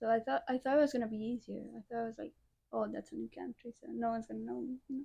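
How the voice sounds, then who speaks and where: A woman talks at a very fast pace with a Chilean accent. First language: Spanish. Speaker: college soccer player. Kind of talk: interview. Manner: hesitant, shy.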